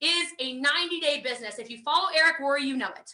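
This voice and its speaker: A woman speaks in a high, raised, projected voice. Her tone is bright and sharp, with ordinary pitch variation. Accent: American. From USA. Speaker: network marketing trainer. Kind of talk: online training presentation. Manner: fast; animated.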